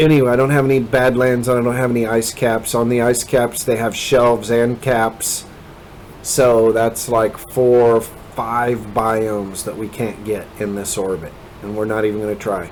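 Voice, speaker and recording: With an American accent, a man talks at a moderate pace and medium pitch in fairly even intonation, over noticeable background noise. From Kansas, US Midwest, rural. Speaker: gaming video creator. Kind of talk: gameplay commentary. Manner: rambling, casual with many fillers.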